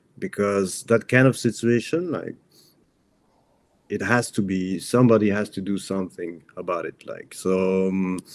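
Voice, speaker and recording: Very clean and silent in the background, the recording captures a man with a non-native accent. He speaks at a fairly slow pace in a fairly low pitch with ordinary variation. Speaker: journalist. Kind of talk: interview. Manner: halting.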